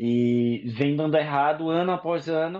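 Against a quiet background, a man with a fairly high pitch speaks with lively intonation in an unremarkable speaking voice. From Brazil, Paraíba. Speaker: intensive care doctor. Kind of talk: interview.

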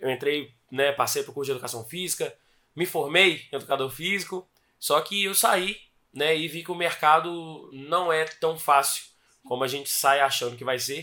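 A man's fairly high-pitched, bright and sharp voice at a moderate pace, with ordinary pitch variation. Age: 20s. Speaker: gym franchise owner. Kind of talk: interview.

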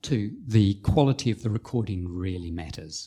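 At a moderate pace, a man with a fairly low, somewhat breathy voice and a dark, mellow tone shows ordinary pitch variation on a very clean recording with a silent background. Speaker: startup co-founder and chief scientist. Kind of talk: interview, explanatory conversation.

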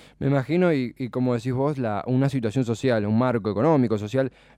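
A man in a normal speaking voice at medium pitch with ordinary pitch variation, on a very clean recording with a silent background. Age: 20s. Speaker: radio host. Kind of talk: casual radio talk show.

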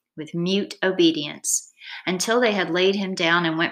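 A natural reading voice with ordinary pitch variation, set against a quiet background

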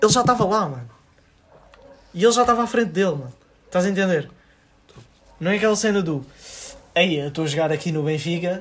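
Over noticeable background noise, a man with a high pitch talks at a very fast pace with lively intonation, broken by long, frequent pauses. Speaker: podcast co-host. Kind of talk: casual chat.

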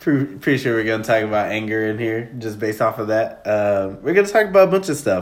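Talking very fast with hardly any pauses, a man with a Southern US accent uses lively intonation at a medium pitch. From Nashville, Tennessee and Texas. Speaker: podcast host. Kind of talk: casual chat. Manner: loud.

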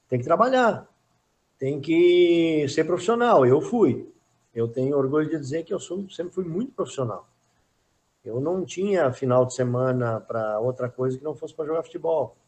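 A man speaks in a plain, everyday voice at a moderate pace. His pitch sits fairly high, and his intonation is lively. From Rio Grande do Sul, Brazil. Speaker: retired footballer. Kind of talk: casual chat.

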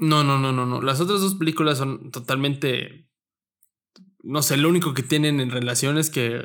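Speaking in a State of Mexico accent, a man keeps his fairly high-pitched voice very even in loudness, with fairly even intonation. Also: moderate pace. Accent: Estado de México. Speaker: podcast host. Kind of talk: casual chat.

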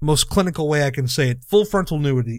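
A man with an unremarkable speaking voice and a fairly high pitch talks with ordinary pitch variation in a very clean recording with a silent background. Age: 30s. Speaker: wrestling podcast host. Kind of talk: casual chat.

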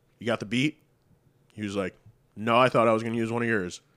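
A man speaks at a fairly quick pace with a Western New York accent. His medium-pitched voice has a dry, close sound with no echo. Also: long, frequent pauses. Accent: Western New York American. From Buffalo, New York area. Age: 20s. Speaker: music producer. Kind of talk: casual chat.

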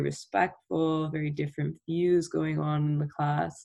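Vocal fry runs through a slightly mellow tone. The delivery is fairly slow.

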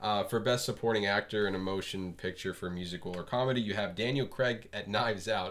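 Talking at a fairly quick pace with hardly any pauses, a man uses a normal speaking voice at a fairly low pitch with fairly even intonation. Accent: American. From South Florida. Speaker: film podcast host. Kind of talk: casual chat.

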